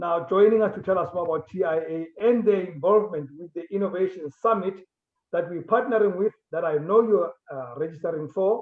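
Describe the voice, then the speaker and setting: Loudness swings widely as a high-pitched man talks fairly quickly with ordinary pitch variation. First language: not English. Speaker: talk show host. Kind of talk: interview. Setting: on location away from studio.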